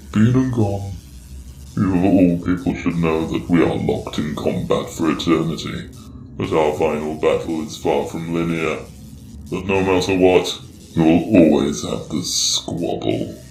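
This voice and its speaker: Putting on a character voice, a man speaks at a very deep, low pitch with lively intonation and a moderate pace, amid slight echo and clear background noise. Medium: audio drama. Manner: grandiose, theatrical.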